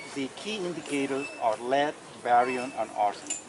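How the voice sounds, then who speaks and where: A quiet male voice with ordinary pitch variation comes through noticeable background noise. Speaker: county environmental official. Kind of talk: public meeting explanation. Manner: quiet, hard to hear.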